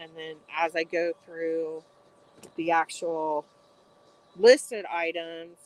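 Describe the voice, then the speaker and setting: Mumbling from a woman at a fairly low pitch, in a dry, close sound with no echo. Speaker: online reseller. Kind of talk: casual livestream chat while folding. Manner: monotone.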